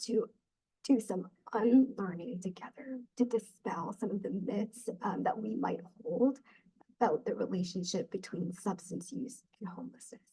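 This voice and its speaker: A woman speaks at a moderate pace in a fairly high, somewhat breathy voice with a dark, mellow tone, ordinary pitch variation and big swings in loudness. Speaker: peer support specialist. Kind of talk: webinar presentation. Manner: frequent filler ums.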